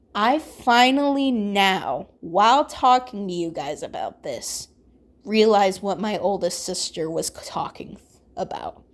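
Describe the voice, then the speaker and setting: A woman speaks very slowly at a medium pitch, her voice swinging very widely in pitch, on a very clean recording with a silent background. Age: 20s. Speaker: ASMR YouTuber. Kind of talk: personal storytime.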